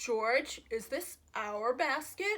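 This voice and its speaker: A woman adopts a put-on character voice, pitched high and swinging very widely up and down. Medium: read story.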